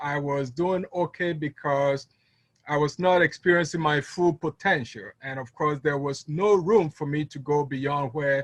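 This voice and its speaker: A man with a fairly high, somewhat breathy voice speaks at a moderate pace with fairly even intonation in a dry, close sound with no echo. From Ghana, West Africa. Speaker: network marketing distributor. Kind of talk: business testimony on a conference call. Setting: conference call. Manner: hesitant, many fillers.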